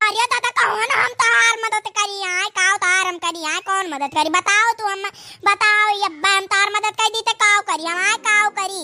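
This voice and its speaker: In a cartoonish character voice at an extremely high pitch, the speaker goes at a moderate pace with hardly any pauses. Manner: anxious, fussing.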